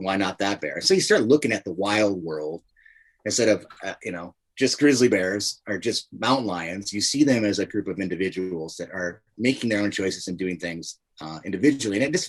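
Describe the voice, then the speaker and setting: A man with an American accent has an ordinary speaking voice, fairly low in pitch, with ordinary pitch variation. He keeps a moderate pace while his loudness swings widely. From Montana. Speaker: wildlife filmmaker and TV host. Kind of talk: podcast interview answer.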